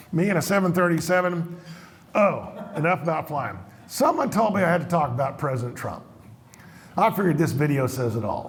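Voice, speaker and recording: In an American accent, a man talks at a fairly quick pace with a high pitch, an animated tone and lively intonation, leaving long, frequent pauses. Audible room echo and noticeable background noise fill the recording. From Colorado (Montrose). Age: 70s. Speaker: economist, keynote speaker. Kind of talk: conference talk to live audience. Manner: animated, conversational with audience questions.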